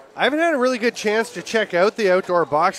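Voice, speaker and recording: Lively intonation from a man with a Canadian accent, at a fairly quick pace, amid noticeable background noise. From Canada. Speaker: lacrosse play-by-play commentator. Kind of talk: live sports commentary. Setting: indoor arena broadcast booth.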